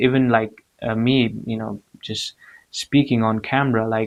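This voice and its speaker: A man's medium-pitched voice, flat and monotone, at a fairly slow pace. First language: not English. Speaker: motivational vlogger. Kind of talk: motivational talk to camera. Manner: hesitant, many fillers and repeats.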